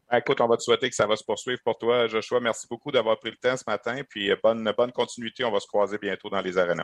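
Talking at a very fast pace with hardly any pauses, a man holds a medium pitch and fairly even intonation. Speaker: sports radio host. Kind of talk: sports podcast interview.

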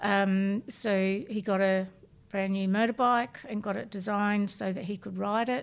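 A woman's medium-pitched voice with an Australian accent, fairly slow and fairly even in intonation. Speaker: bereaved mother sharing lived experience. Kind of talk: testimony.

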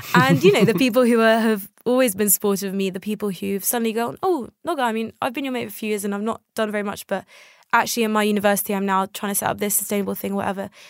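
A woman with a British accent talks very fast at a fairly high pitch. The recording is dry, close and very clean, with a silent background and no echo. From England. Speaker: climate justice activist. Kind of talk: interview. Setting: studio.

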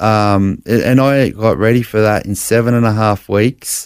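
Speaking at a fairly slow pace with fairly even intonation, a man with an Australian accent and a medium pitch comes through on a very clean recording with a silent background. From Brisbane, Australia. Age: 40s. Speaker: blind bodybuilder sharing faith story. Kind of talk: interview testimony. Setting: studio.

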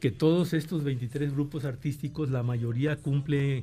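The voice is somewhat breathy with a dark, mellow tone. It moves at a fairly slow pace with fairly even intonation. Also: man. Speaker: university rector. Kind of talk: radio interview, formal answers.

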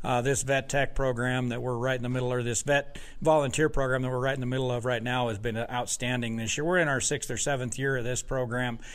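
A man at medium pitch and very fast pace, monotone, flat intonation and hardly any pauses, amid audible room echo and noticeable background noise. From Wyoming. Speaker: university sheep farm director. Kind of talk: interview. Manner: halting, many repeated words.

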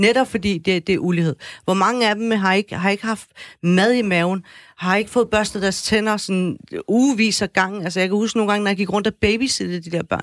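A woman's normal speaking voice, medium-pitched and fairly quick, with fairly even intonation, dry and close without echo, on a very clean recording with a silent background. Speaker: debater and author. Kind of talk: live radio debate. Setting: studio.

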